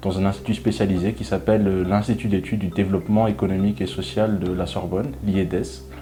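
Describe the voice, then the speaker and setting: A man talks at a very fast pace with hardly any pauses. His voice is very deep and low, with ordinary pitch variation. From Madagascar. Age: 20s. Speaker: graduate student. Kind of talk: interview testimony. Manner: hesitant, many fillers.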